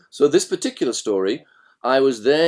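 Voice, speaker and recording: Through a very clean recording with a silent background, a man with a British accent talks at a fairly quick pace and a medium pitch. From Britain. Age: 60s. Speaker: author and leadership trainer. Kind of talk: interview conversation.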